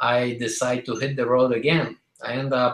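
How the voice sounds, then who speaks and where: A man speaks in a Polish accent at a fairly slow pace. His pitch sits in the medium range. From Poland. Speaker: business speaker. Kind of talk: testimony. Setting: conference call.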